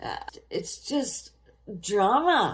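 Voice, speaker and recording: A woman's high-pitched voice moves through very wide pitch swings. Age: 60s. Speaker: vlogger and energy healer. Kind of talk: casual monologue answering fan questions.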